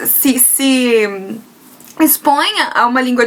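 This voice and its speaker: A woman's high voice with a strong Brazilian accent over noticeable background noise. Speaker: video blogger, trained teacher. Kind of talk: casual vlog talk. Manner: halting, frequent hesitations.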